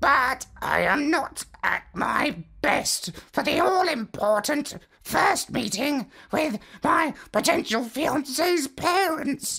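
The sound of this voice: This put-on character voice is croaky and raspy, pitched high and delivered at a very slow pace.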